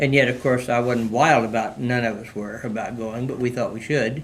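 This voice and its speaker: In an American accent, a man talks at a fairly quick pace and medium pitch, with audible room echo around him. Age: 100+ (born 1922). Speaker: World War II veteran. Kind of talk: oral history interview. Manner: halting, many fillers.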